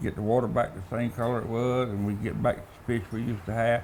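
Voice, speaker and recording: In a coastal Georgia accent, a man talks at a very fast pace with audible room echo. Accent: Southern US, coastal Georgia. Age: old. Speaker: fisherman and beekeeper. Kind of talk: casual storytelling. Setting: stage with audience.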